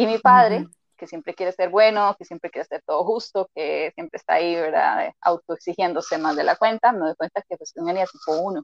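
With big swings in loudness, a woman speaks at a fairly quick pace in a Costa Rican accent. She leaves hardly any pauses. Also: medium pitch for a woman, ordinary pitch variation, dry, close sound with no echo. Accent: Costa Rican, noticeable R. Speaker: emotional intelligence coach. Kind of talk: interview.

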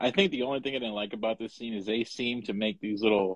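The voice belongs to a man with a fairly low pitch. His pace is moderate. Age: 40s. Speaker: podcast co-host. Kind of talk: casual chat. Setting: live Instagram broadcast. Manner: animated.

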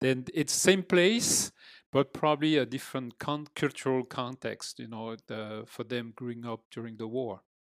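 A man talks with a French accent, his loudness swinging widely. The recording is very clean and dry, close with no echo, against a silent background. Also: medium pitch for a man, ordinary pitch variation, moderate pace. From France, Normandy (near Rouen). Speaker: father and retired teacher. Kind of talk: casual interview. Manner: halting, many fillers.

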